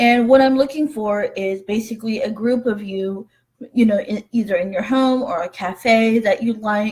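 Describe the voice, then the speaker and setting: Some breathiness runs through the voice. Its intonation is fairly even. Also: woman, fairly high pitch for a woman, moderate pace. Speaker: human trafficking survivor and advocate. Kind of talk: live webinar talk. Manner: halting, many fillers.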